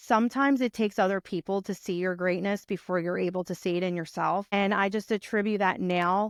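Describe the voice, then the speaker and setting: A woman with a strong Philadelphia accent talks at a fairly quick pace with hardly any pauses, at a medium pitch and with fairly even intonation. The sound is dry and close with no echo, over a quiet background. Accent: thick Philadelphia. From Philadelphia, US. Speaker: brand strategist and podcaster. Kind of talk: interview conversation.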